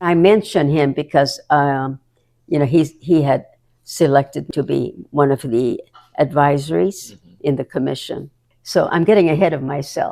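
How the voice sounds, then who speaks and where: A woman's very deep, low voice with a dark, mellow tone and ordinary pitch variation. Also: moderate pace. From Hawaii. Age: 80s+. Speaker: community advocate and entrepreneur. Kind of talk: interview answer.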